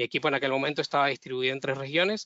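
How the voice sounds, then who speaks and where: A man with a Venezuelan accent speaks in a fairly high pitch with fairly even intonation. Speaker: data engineer. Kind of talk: webinar presentation. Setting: online webinar. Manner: halting, with frequent fillers and repetitions.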